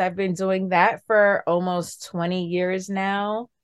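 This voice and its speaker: In a New York accent, a woman speaks very slowly at a medium pitch. The sound is dry and close with no echo, over a quiet background. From New York City, the Bronx. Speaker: wellness coach and nurse. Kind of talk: interview.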